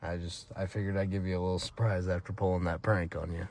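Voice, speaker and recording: Against a quiet background, a man talks at a very fast pace in a very deep, low pitch. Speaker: car enthusiast vlogger. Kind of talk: casual vlog narration. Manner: halting, stuttering a little.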